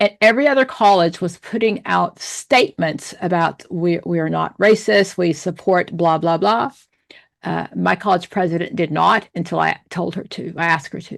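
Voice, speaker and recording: A woman with vocal fry at a moderate pace, against a quiet background. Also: fairly low pitch for a woman, ordinary pitch variation. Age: 60s. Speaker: social work professor. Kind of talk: lecture.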